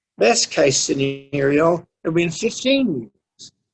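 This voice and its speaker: The man's voice sits high. Its pitch rises and falls very widely. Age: 70s. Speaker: recovery speaker. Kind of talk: testimony. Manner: halting.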